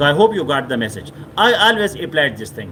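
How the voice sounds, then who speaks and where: Over noticeable background noise, a man with a Pashto accent speaks with very wide pitch swings. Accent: Pashto-accented South Asian English. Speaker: motivational speaker. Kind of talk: motivational talk. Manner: repetitive with frequent fillers.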